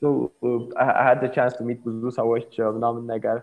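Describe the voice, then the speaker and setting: A man speaks with an Ethiopian accent. His pace is moderate. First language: Amharic. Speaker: tech startup founder. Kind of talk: casual interview.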